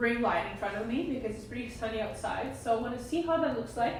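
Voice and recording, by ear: Audible room echo surrounds a raspy woman's voice with a fairly high pitch.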